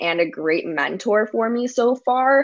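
A woman with an American accent speaks in an ordinary speaking voice at a fairly slow pace, with ordinary pitch variation over a quiet background. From US Midwest, Chicago. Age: 20s. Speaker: lifestyle and wellness blogger. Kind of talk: casual chat.

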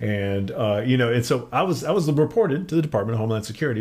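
Here a man talks at a very fast pace in a medium pitch. His voice is somewhat breathy. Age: 40s. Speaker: independent physics researcher. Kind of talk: casual interview. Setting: studio.

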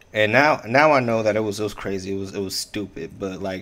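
A normal speaking voice from a man, fairly low in pitch, with fairly even intonation. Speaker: podcast host. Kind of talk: casual chat. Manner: playful, joking.

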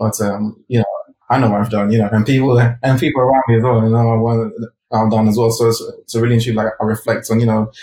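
A man's medium-pitched, somewhat breathy voice with a dark, mellow tone, flat monotone intonation and a very fast pace. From UK, raised from age four or five after birth in Ghana. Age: 30s. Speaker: designer and creative director. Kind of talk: interview. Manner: filler-heavy, casual.

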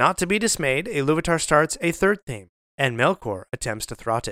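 In a dry, close sound with no echo, a man with a fairly high pitch speaks at a moderate pace in a solemn, dramatic tone, his pitch swinging very widely. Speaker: podcast host. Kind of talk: scripted narration of mythic creation story, retold in a solemn storyteller's cadence. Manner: solemn, measured and dramatic, like a storyteller.

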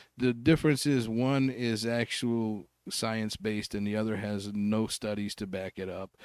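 In a very clean recording with a silent background, a man with a plain, everyday voice speaks at a moderate pace, with a fairly low pitch and fairly even intonation. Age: 50s. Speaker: comedian. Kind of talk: casual chat.

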